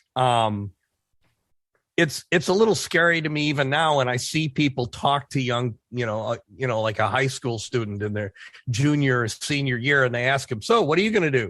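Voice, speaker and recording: Over a quiet background, a man talks in a plain, everyday voice. He keeps a moderate pace and medium pitch with ordinary pitch variation. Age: 60s. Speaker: author and former skydiver, army veteran. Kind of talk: interview, casual chat. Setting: podcast interview.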